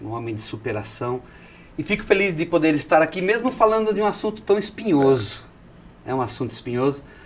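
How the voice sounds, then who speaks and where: A man speaks with a fairly high pitch, very wide pitch swings and big swings in loudness. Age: 60s. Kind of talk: testimony. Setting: TV studio, in person. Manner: energetic.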